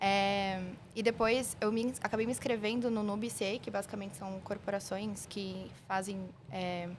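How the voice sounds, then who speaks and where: With a plain, everyday voice, a woman speaks at a moderate pace and medium pitch, her intonation fairly even. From São Paulo, south zone. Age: 20s. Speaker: merchandising analyst. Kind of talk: podcast interview.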